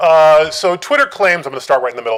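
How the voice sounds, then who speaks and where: This man's pitch varies in an ordinary way as he speaks at a very fast pace. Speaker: academic researcher. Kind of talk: conference talk. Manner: hesitant with many fillers.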